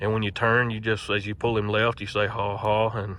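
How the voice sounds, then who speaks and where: A man with a Southern US accent speaks at a fairly quick pace in a fairly low pitch. His tone is bright and sharp, his intonation monotone and flat. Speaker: mule logger and horse trainer. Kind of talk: tutorial.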